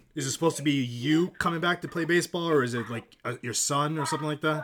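A man with a fairly high pitch and an American accent talks at a very fast pace. His pitch varies in an ordinary way, with noticeable background noise around him. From Massachusetts. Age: 40s. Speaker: podcast host. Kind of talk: casual interview.

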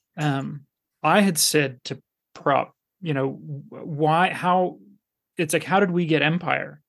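A man speaks very slowly, with long and frequent pauses. His pitch sits fairly high, and his intonation stays fairly even. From Canada. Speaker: podcast host. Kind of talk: casual chat. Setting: video call.

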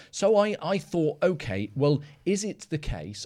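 A man speaks with a British accent at a fairly slow pace. The recording is very clean, with a silent background. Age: 40s. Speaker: analyst, podcast co-host. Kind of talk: casual discussion. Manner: halting, many fillers and repetitions.

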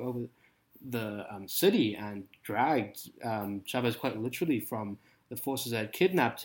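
A man speaks at medium pitch with a South African accent. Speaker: PhD student and political writer. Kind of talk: casual political discussion.

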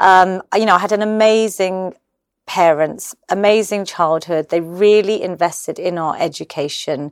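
A woman with a London accent talks in a fairly even tone over a very clean recording with a silent background. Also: medium pitch for a woman, moderate pace. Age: 40s. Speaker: fitness and menopause advocate. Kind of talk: casual chat. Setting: artist's studio.

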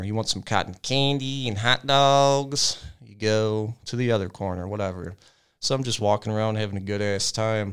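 In a very clean recording with a silent background, a man with a plain, everyday voice speaks at a fairly low pitch with ordinary pitch variation. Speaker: podcast host. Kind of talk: casual banter. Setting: studio. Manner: joking, casual.

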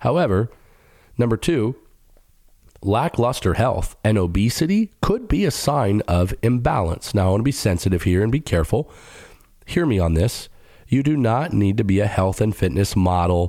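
In a very clean, silent recording, a man speaks at a moderate pace with a fairly low pitch, a dark, mellow tone, lively intonation and very even loudness. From Middle Eastern family background. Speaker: pastor and podcast host. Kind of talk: teaching monologue. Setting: studio.

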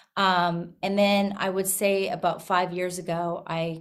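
A woman speaks at a medium pitch in an Albertan accent. Her intonation stays flat and monotone. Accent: Canadian (Alberta). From rural Alberta, Canada. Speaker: country singer-songwriter. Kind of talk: casual interview.

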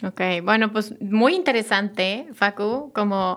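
On a very clean recording with a silent background, a woman with a Mexican accent speaks at a fairly slow pace with a fairly high pitch, a bright, sharp tone and fairly even intonation. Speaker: podcast host, spiritual therapist. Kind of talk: interview.

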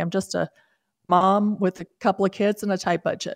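In a very clean recording with a silent background, a woman with a normal speaking voice and medium pitch talks at a fairly quick pace, the sound dry and close with no echo. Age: 60s. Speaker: author and podcast host. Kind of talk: radio interview.

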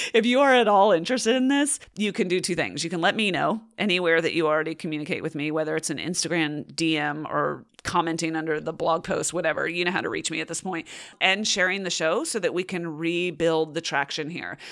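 The speech comes at a very fast pace with hardly any pauses. Pitch variation is ordinary, and the recording is very clean with a silent background. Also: woman, fairly low pitch for a woman. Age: 40s. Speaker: podcast host. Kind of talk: solo Q&A podcast. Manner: casual.

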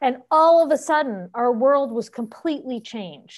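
A woman with an American accent talks at a moderate pace in a high pitch, her intonation lively. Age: 50s. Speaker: veterinary technician. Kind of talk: casual chat.

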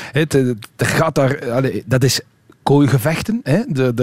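A man talks very slowly, with ordinary pitch variation, as noticeable background noise carries on. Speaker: cycling magazine editor. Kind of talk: radio panel discussion. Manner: hesitant with fillers.

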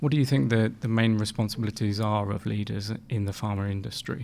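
Very fast speech comes from a man with a medium pitch in a very clean recording with a silent background. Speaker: podcast host. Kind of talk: interview.

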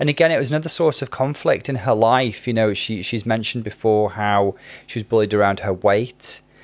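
In a Welsh accent, a man talks at a medium pitch with ordinary pitch variation. He keeps a fairly quick pace. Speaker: psychiatrist and podcast co-host. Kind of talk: casual chat.

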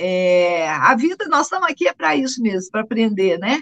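A woman speaks with a Minas Gerais accent, her voice dry and close with no echo. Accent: Brazilian Portuguese, Minas Gerais. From Minas Gerais, Brazil (Guaxupé). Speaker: coffee farmer. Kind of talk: interview. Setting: remote connection.

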